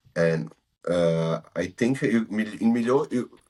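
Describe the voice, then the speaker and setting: A man with a non-native accent and ordinary pitch variation. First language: not English. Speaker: football podcast host. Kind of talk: casual chat.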